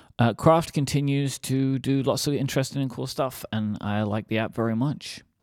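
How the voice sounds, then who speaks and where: In a very clean recording with a silent background, a man with a British accent speaks at a moderate pace with a medium pitch and ordinary pitch variation. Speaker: podcast co-host. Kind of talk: casual chat. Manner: talkative.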